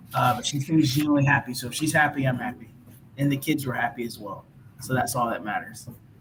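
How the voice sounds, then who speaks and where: Over noticeable background noise, a man talks very fast with an American accent. His pitch is medium and his intonation fairly even. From US South, Georgia. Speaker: musician guest. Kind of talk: casual chat.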